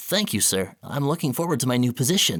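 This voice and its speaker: A man speaks in a put-on character voice at medium pitch and a fairly quick pace. The recording is very clean, with a silent background. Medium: read story. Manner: timid, deferential.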